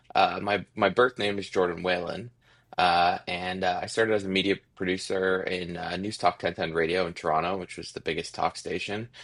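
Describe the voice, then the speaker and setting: A man with a Canadian accent speaks at a moderate pace in a very deep, low pitch and a monotone, flat intonation. The recording is very clean with a silent background. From Ontario, Canada. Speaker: musician. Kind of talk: interview.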